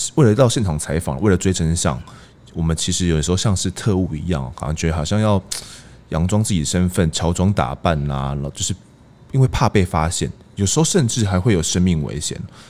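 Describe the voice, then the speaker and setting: A man's very deep, low pitch with lively intonation, delivered at a fairly quick pace. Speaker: crime reporter and podcast host. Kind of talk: casual conversation; scripted intro.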